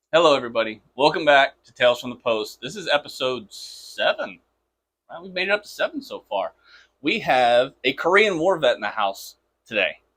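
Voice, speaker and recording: Big swings in loudness at a fairly quick pace. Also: man. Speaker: podcast host. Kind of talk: interview questions. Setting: studio.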